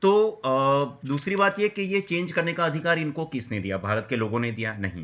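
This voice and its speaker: A man with a Gujarati accent and very wide pitch swings, on a very clean recording with a silent background. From Gujarat, India. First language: Gujarati (speaking Hindi). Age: 40s. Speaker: vlogger. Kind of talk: personal video commentary. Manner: agitated, ranting.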